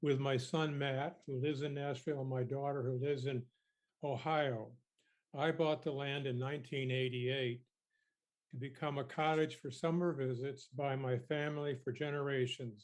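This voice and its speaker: Flat, monotone intonation marks this man's speech. His pitch is fairly high and his pace moderate. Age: 70s. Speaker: member of the public presenting to a committee. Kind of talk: prepared statement to a legislative committee. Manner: formal.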